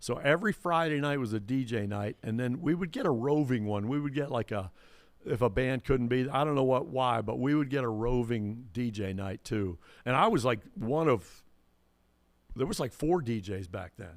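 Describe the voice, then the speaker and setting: Over a silent background, this very clean recording features a man with a normal speaking voice at medium pitch. He talks at a moderate pace with lively intonation. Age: 60s. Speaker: DJ and entertainer. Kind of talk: casual chat.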